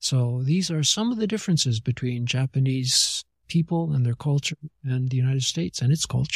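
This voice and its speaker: Somewhat breathy and at a medium pitch, a man talks at a fairly quick pace with ordinary pitch variation and very even loudness, the sound dry and close with no echo. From Japan. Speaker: missionary pastor and theologian. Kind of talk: interview conversation.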